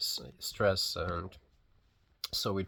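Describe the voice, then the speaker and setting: A man with a non-native accent on a very clean recording with a silent background. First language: not English. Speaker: physiotherapist vlogging a personal journey. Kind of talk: casual vlog monologue. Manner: hesitant, many fillers and restarts; unscripted, unedited.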